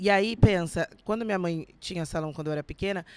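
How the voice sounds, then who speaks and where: Fairly low-pitched, a woman with an ordinary speaking voice talks at a fairly quick pace with ordinary pitch variation. The recording is very clean, the background silent. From São Paulo state (São José dos Campos, São Paulo city), born in Minas Gerais. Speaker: actress and beauty influencer. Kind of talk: casual chat.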